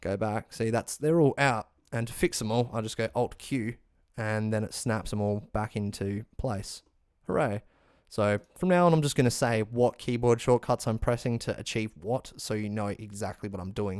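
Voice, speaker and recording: Recorded very cleanly against a silent background, a man with an Australian accent speaks at medium pitch with ordinary variation. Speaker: music production tutorial maker. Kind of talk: tutorial. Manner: fast; casual.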